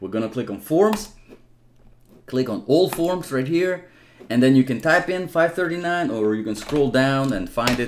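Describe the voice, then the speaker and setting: A man speaks with a non-native accent at a moderate pace. His intonation is lively. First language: not English. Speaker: immigration help youtuber, not an attorney. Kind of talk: Q&A tutorial answering viewer comments. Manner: casual with frequent fillers and restarts.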